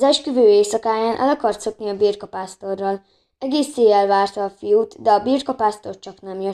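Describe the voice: A quiet background behind plain reading aloud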